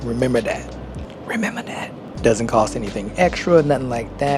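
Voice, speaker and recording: A man with an American accent speaks quietly at a moderate pace in an animated tone, with audible room echo and music in the background. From United States. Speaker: vlogger. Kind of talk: vlog narration. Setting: train station and train. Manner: casual, animated.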